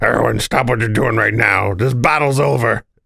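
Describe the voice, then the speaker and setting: Using a put-on character voice, a man talks at medium pitch and a moderate pace, raspy and with lively intonation. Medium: game stream.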